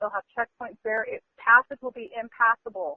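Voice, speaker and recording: A woman speaks at a fairly quick pace in a fairly high-pitched voice. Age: 40s. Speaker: visionary, spiritual speaker. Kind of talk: podcast interview about visions. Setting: phone call. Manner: fast; animated.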